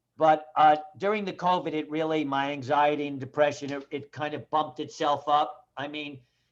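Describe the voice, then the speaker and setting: Against a quiet background, a plain, everyday voice speaks at a moderate pace. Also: man. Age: 60s. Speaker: actor and comedian. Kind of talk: casual chat. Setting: video call.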